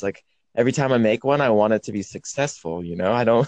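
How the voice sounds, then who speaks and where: An ordinary speaking voice from a man with an American accent, fairly quick and lively in intonation, in a dry, close sound with no echo. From Portland area, US. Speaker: independent musician. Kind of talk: casual phone interview. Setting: phone call.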